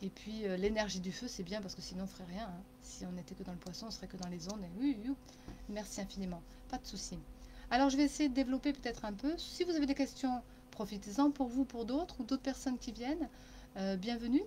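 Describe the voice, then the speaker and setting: Very fast and with big swings in loudness, a woman speaks at a fairly high pitch with lively intonation. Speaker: channeling medium and therapist. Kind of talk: live-stream spiritual guidance talk. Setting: Facebook live stream.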